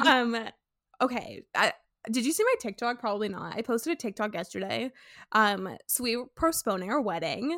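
In a very clean recording with a silent background and a dry, close sound with no echo, a woman speaks at a fairly high pitch with lively intonation. Her tone is bright and sharp, with vocal fry. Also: moderate pace. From Sweden. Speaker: podcast host. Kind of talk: casual chat.

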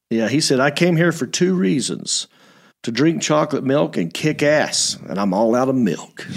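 A man with fairly high pitch talks with lively intonation and vocal fry. The recording is very clean, with a silent background. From Hickory, North Carolina. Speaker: podcast host. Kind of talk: casual comedic chat show. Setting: studio with live video stream. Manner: animated, energetic.

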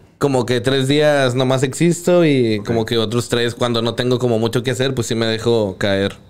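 A man with an ordinary speaking voice talks at a moderate pace, with hardly any pauses. His medium pitch shows ordinary variation and his loudness stays very even. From Santa Catarina, Monterrey area, Mexico. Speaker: freestyle rapper. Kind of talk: casual chat.

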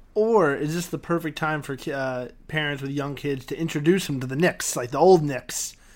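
With an American accent, a man speaks at a moderate pace with hardly any pauses, using an ordinary speaking voice, a fairly high pitch and ordinary pitch variation. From New York City. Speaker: podcast host. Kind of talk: casual interview. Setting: Skype call.

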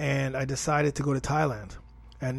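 The speaker is a man with a medium pitch and a somewhat breathy sound. He talks at a moderate pace with an animated tone. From Toronto, Canada. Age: 40s. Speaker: fitness coach and podcast host. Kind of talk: podcast monologue.

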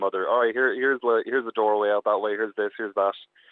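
A man speaks with an Irish accent at a fairly low pitch. His intonation is monotone and flat. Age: young. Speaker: guest's son. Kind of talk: phone interview. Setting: phone call. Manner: halting.

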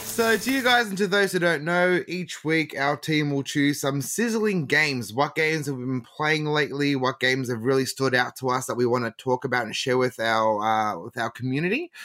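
Fast-moving and fairly high-pitched, a man with an Australian accent speaks fairly quickly in a bright, sharp tone with lively intonation and hardly any pauses. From Melbourne, Australia. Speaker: podcast host. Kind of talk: casual chat.

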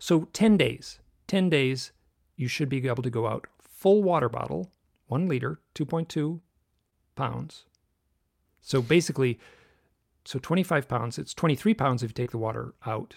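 A man with an American accent talks at a moderate pace, with lively intonation and vocal fry. He leaves long, frequent pauses in a very clean recording with a silent background. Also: medium pitch for a man. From US Midwest (Michigan). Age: 60s. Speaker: author and UFO researcher. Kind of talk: interview conversation. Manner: halting, many false starts.

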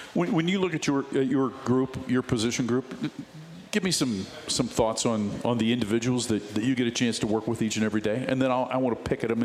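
A man speaks very fast at medium pitch with ordinary pitch variation. His loudness stays very even over noticeable background noise. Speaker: radio sports host. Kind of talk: live radio sports talk show interview. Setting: bar and grill, live show. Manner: polished, fluent broadcaster.

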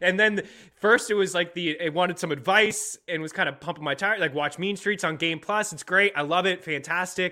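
This man talks at a fairly quick pace in a high, bright, sharp voice with ordinary pitch variation. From Nova Scotia, Canada. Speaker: sports betting podcast host. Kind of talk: casual sports chat.

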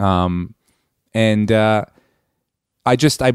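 A man with an American accent speaks at a fairly low pitch with ordinary pitch variation. The recording is very clean, dry and close, with a silent background and no echo. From US East Coast. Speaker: comedian and podcast host. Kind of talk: casual podcast monologue and interview.

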